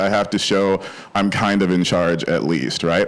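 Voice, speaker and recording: A man with an American accent, a normal speaking voice, fairly low pitch and a moderate pace. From Minnesota, US (Bloomington). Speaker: stand-up comedian. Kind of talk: stand-up.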